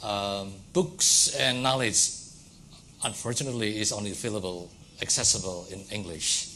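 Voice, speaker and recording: Against noticeable background noise and audible room echo, a man with an Indonesian accent and fairly low pitch speaks at a moderate pace. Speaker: academic lecturer. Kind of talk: lecture. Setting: lecture hall with audience.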